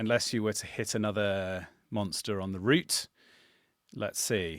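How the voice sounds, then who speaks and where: In a southern English accent, a man speaks slowly-ish with a fairly low pitch and fairly even intonation on a very clean recording with a silent background. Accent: posh southern English (RP-like). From England, Suffolk. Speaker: channel host, game master. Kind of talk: casual chat.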